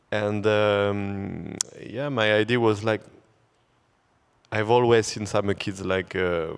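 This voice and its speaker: Speaking at a fairly slow pace, a man with a French accent holds a fairly low pitch and fairly even intonation. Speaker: photographer. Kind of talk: panel discussion. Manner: halting.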